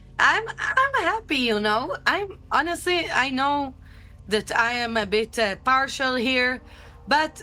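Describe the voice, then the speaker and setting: A woman speaks at a fairly slow pace in a raised, projected voice. Her high pitch has a bright, sharp tone. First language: not English. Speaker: livestream co-host. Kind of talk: casual chat. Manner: animated.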